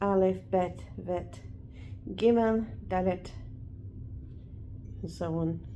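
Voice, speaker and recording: A woman speaks at a very slow pace with long, frequent pauses. Room echo is audible. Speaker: vlogger. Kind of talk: casual chat. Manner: loud.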